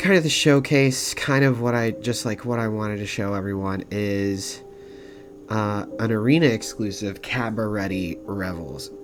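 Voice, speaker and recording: A man speaks at a moderate pace with lively intonation. Music plays behind him, and the room gives an audible echo. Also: fairly low pitch for a man. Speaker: gaming content creator. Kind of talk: gameplay deck explanation.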